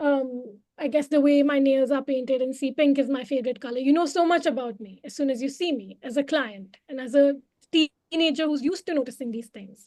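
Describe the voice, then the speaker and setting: The woman's pitch is high, with ordinary variation. Her tone is dark and mellow. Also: hardly any pauses. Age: young. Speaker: psychologist. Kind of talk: interview conversation. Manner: hesitant, many fillers.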